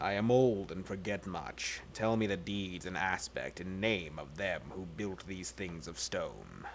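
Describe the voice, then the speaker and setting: A man uses a put-on character voice at a very deep, low pitch. He speaks at a fairly slow pace, with clear background noise. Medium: read story.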